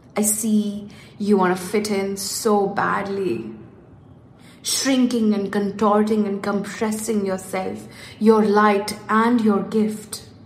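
A woman speaks very slowly in a monotone, flat intonation at a medium pitch. Noticeable background noise and audible room echo fill the recording. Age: 30s. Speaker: life coach podcast host. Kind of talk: reading aloud; casual monologue. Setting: home office.

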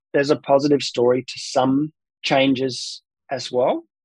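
The sound is dry and close with no echo as a man speaks with an Australian accent. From South Australia, Adelaide. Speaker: pain researcher and physiotherapist. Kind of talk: interview, expert explanation.

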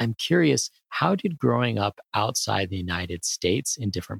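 A man speaks at a moderate pace. Vocal fry runs through his voice. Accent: American. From grew up in Asia, American diplomat family. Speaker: podcast host, corporate market researcher. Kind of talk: interview; scripted outro.

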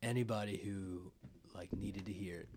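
This man has an ordinary speaking voice, pitched fairly low, with fairly even intonation. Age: 20s. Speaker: podcast host. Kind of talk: casual chat.

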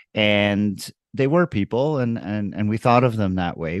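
A man speaks at a fairly low pitch with ordinary pitch variation. The sound is dry and close with no echo, against a quiet background. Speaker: emergency physician. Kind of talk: recorded interview answers. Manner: thoughtful, hesitant with fillers.

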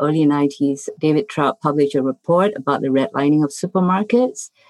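This woman's pitch is very deep and low, with ordinary variation, at a moderate pace. The sound is dry and close, with no echo. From Singapore. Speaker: public health researcher. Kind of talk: panel discussion.

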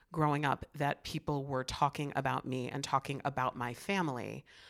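A woman's very deep, low voice with vocal fry, at a moderate pace, dry and close with no echo, on a very clean recording with a silent background. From Chicago, US Midwest. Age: 50s. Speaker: author. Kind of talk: interview.

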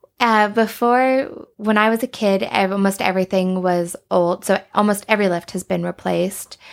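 Here a woman talks at a moderate pace and medium pitch, with hardly any pauses and fairly even intonation, in an unremarkable speaking voice. The recording is very clean and the background silent. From Alberta, Canada. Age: 30s. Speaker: ski resort marketing director. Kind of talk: casual interview chat.

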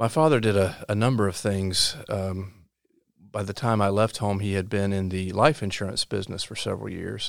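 On a very clean recording with a silent background, a man with a North Carolina accent speaks at a moderate pace and fairly low pitch with ordinary pitch variation. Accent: Southern US (North Carolina). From US South, rural Robeson County, North Carolina. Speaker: state supreme court justice. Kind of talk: interview. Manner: halting, frequent repetitions and fillers.

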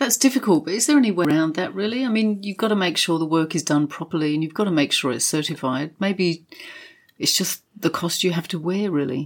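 Delivered at a fairly quick pace, an unremarkable speaking voice carries lively intonation. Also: woman, fairly low pitch for a woman. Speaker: property journalist and co-host. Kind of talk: casual conversational podcast chat.

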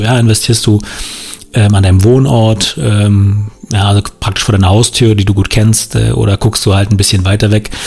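Noticeable background noise runs under this recording. A man talks at a fairly low pitch with fairly even intonation. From northern Brandenburg, Germany. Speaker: podcast host, real estate investor. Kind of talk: solo podcast monologue. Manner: casual, many filler sounds.

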